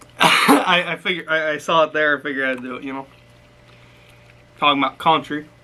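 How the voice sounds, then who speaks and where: An American accent at a fairly quick pace, fairly even in intonation, with big swings in loudness, long, frequent pauses and noticeable background noise. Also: man, fairly high pitch for a man. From US Midwest, Chicago suburbs. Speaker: food video co-host. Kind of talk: casual chat while eating. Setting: live stream.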